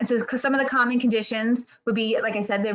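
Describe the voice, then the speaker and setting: Her pitch varies in an ordinary way as the woman speaks. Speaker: pediatric therapy clinic representative. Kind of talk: webinar presentation. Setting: video webinar. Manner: fast.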